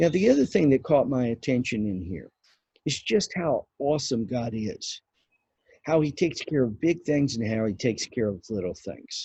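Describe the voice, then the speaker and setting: In a dry, close sound with no echo and a quiet background, a man speaks at a moderate pace with a somewhat breathy, medium-pitched voice and lively intonation. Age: 60s. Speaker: pastor. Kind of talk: sermon. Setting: outdoors. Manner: halting.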